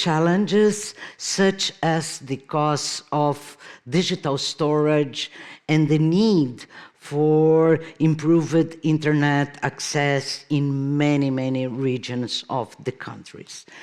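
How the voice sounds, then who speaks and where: In a very clean recording with a silent background, a woman with a very deep, low pitch speaks at a very slow pace with fairly even intonation. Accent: Brazilian Portuguese. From Brazil. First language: Portuguese. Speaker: keynote speaker, artist and professor. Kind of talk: conference keynote lecture. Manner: hesitant, with frequent fillers.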